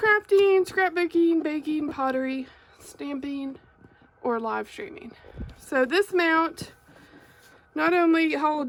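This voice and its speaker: Spoken at a very slow pace with long, frequent pauses, the voice carries an American accent and ordinary pitch variation. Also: woman. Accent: Arkansas accent, comes through sometimes. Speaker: crafter and YouTuber. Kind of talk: product unboxing and review. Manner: casual, many fillers (um, like).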